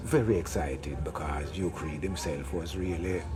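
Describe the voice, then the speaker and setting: A man with a Jamaican accent and a very deep, low pitch, at a fairly slow pace, with audible room echo and noticeable background noise. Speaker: music veteran. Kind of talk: interview.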